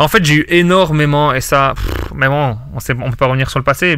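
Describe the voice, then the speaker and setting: Talking at a fairly quick pace, a man with a Belgian accent has a fairly high pitch, ordinary pitch variation and a bright, sharp tone. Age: 20s. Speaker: sports betting consultant. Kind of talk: podcast interview answer. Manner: casual, hesitant.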